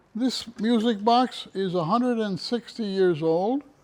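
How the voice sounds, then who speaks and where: A man speaks very slowly with a Philadelphia accent. His pitch is high, and it varies an ordinary amount. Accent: Philadelphia American English. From US, Philadelphia. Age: 90s. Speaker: music box collector and museum owner. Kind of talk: casual museum tour and life story.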